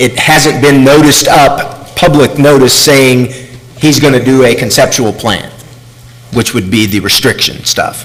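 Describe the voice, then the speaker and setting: Noticeable background noise runs under a man talking fairly slowly. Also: medium pitch for a man, ordinary pitch variation. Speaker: city staff advising on legal process. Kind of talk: public meeting discussion. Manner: speaking loudly.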